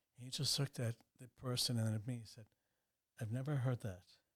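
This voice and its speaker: Fairly even intonation in a man's somewhat breathy voice. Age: 60s. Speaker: banker and businessman. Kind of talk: interview conversation.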